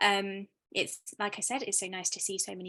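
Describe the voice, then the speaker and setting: Her British accent and bright, sharp tone come through as the woman speaks at a fairly quick pace with a medium pitch. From Britain. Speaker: arts producer, talk host. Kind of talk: hosting an online artist talk. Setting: video call.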